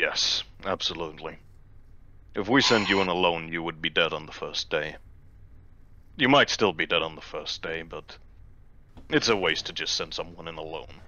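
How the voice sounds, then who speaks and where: A put-on character voice at a moderate pace, broken up by long, frequent pauses. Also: man, very deep, low pitch for a man. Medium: actual play. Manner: terse, dry.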